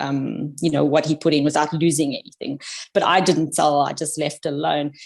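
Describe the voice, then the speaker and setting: Over a very clean recording with a silent background, a woman with a South African accent and a very deep, low pitch talks at a fairly quick pace with fairly even intonation. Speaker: podcast guest, amateur investor. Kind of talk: casual chat.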